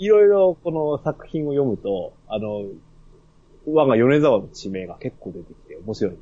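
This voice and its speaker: A man speaks at a fairly slow pace in a fairly high voice with a dark, mellow tone. His pitch swings very widely and his loudness swings a lot. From Yamagata. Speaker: podcast host guest. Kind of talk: casual chat.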